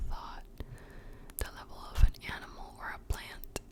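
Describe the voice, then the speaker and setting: Over noticeable background noise, a woman's words come out in a whisper. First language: Spanish. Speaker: ASMR creator. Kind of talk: whispered ASMR book reading for sleep. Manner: whispered, soft, slow.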